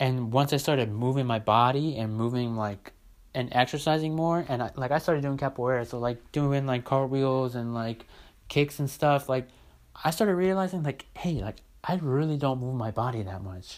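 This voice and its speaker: Ordinary pitch variation in a man's speech, captured on a very clean recording against a silent background. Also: medium pitch for a man, moderate pace. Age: 20s. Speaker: podcaster. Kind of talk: casual monologue. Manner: casual, filler-heavy.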